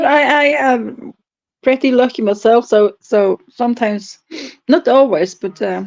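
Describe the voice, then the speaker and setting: Speaking at a fairly slow pace in a Norwegian accent, a woman has a fairly high pitch with ordinary pitch variation. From Norway. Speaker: stream regular. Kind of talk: casual chat. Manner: halting.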